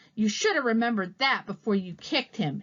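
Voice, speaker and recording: Putting on a character voice, a woman growls at a very fast pace, fairly high in pitch, with lively intonation. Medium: read story. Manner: blunt.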